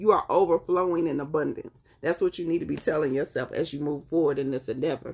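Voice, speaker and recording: With a Southern accent and a fairly low pitch, a woman talks very fast in an animated tone, with hardly any pauses. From US South, North Carolina. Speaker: tarot reader. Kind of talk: live-stream tarot reading.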